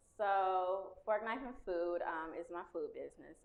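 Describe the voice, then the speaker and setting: A woman speaks softly. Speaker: chef. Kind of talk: interview. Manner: soft-spoken.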